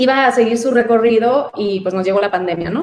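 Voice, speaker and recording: The woman's voice sits at a fairly high pitch. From Mexico, Sonora border (San Luis Río Colorado). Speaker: actress and writer. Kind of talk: interview conversation.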